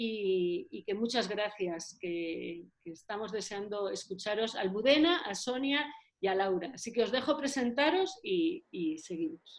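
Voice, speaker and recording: Her voice sits fairly high in pitch and swings very widely up and down. The woman speaks with hardly any pauses. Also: fairly slow pace. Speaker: local councillor. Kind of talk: online event introduction. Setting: virtual meeting.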